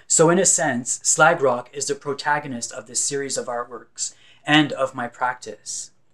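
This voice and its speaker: Here a man speaks with a Franco-Ontarian accent. His pitch is fairly high. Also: ordinary pitch variation, moderate pace. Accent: Franco-Ontarian Canadian English. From northern Ontario, Canada (francophone community near Sudbury). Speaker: visual artist. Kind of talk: scripted narration. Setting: recorded at home or studio. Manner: formal.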